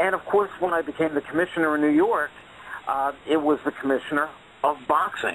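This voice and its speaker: A man's fairly high voice comes through with noticeable background noise around it. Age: 60s. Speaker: boxing commentator and former commissioner. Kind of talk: phone-in interview.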